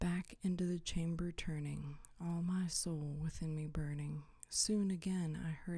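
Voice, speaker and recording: Somewhat breathy and dark, mellow in tone, a woman talks at a fairly low pitch and a fairly slow pace. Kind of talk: ASMR poetry reading. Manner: soft, whispered, relaxing.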